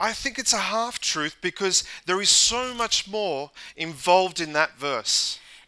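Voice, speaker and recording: Raising and projecting his voice, a man with a high pitch talks at a very slow pace over noticeable background noise. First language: English (speaking French). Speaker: pastor. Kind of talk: sermon. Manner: halting.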